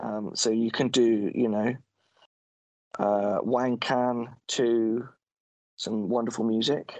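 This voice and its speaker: With long, frequent pauses, a man speaks at a very slow pace in a monotone, flat intonation. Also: medium pitch for a man. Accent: British. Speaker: podcast co-host. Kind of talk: casual chat.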